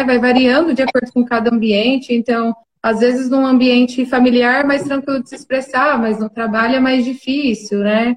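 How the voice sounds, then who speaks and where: Her pitch sits high for a woman. She speaks at a moderate pace. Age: 20s. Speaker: clinical psychologist. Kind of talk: casual chat.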